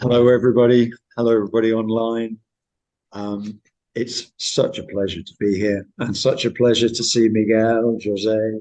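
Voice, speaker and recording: In a strong West Country accent, a man speaks at a moderate pace and medium pitch with a dark, mellow tone, monotone, flat intonation and big swings in loudness. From Cornwall, south-west England. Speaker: history professor. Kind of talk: academic lecture. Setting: university seminar with online audience.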